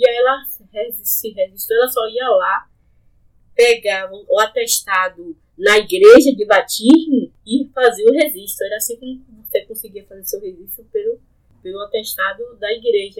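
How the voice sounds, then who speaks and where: An unremarkable speaking voice from a woman, fairly high in pitch, at a moderate pace, with ordinary pitch variation and big swings in loudness. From Salvador, Bahia, Brazil (Plataforma). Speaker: local resident sharing memories. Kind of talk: conversational interview, reminiscing.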